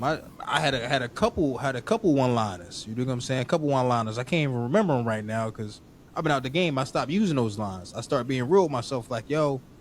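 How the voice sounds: Fast pace and lively intonation. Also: man, medium pitch for a man.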